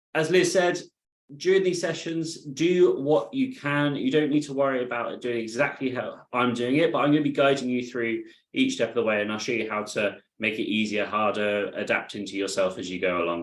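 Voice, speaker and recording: A man with a British accent speaks at a fairly quick pace in a medium pitch. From UK. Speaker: adaptive fitness instructor. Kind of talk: live online exercise class instruction. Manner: calm, encouraging.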